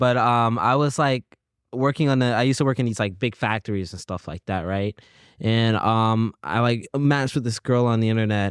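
An unremarkable speaking voice with an American accent moves at a moderate pace with ordinary pitch variation. The background is quiet, and the sound is dry and close with no echo. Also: man, medium pitch for a man. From US South, South Carolina. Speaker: roommate of the featured musician. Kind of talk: casual chat.

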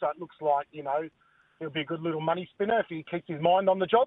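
The speaker uses fairly even intonation in an Australian accent. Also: man. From Western Australia, Perth. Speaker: greyhound owner and breeder. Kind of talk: casual interview.

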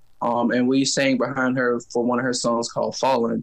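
At a moderate pace and medium pitch, a man speaks against noticeable background noise. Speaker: singer and music teacher. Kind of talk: interview.

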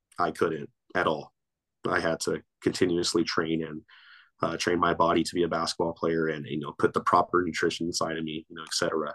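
A man with a Southern California accent, very deep and low in pitch, talking at a fairly quick pace in a dry, close sound with no echo. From Torrance, Los Angeles area. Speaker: basketball coach and grad student. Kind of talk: casual interview.

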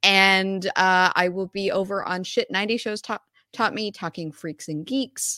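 A woman's bright, sharp, medium-pitched voice at a fairly slow pace, with fairly even intonation and a dry, close sound with no echo, on a very clean recording with a silent background. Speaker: guest movie reviewer. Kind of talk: casual chat.

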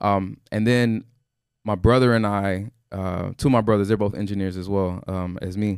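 On a very clean recording with a silent background, a man with an unremarkable speaking voice and an American accent talks at a moderate pace in a fairly low pitch with fairly even intonation. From Houston, Texas. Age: 30s. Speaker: forex trader. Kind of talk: casual interview. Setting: studio.

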